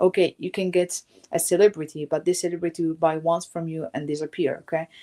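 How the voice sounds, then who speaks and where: With an Arabic accent, a woman speaks fairly quickly in a dark, mellow, fairly low voice with monotone, flat intonation, the sound dry and close with no echo. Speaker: real estate sales manager. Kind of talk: interview on live stream.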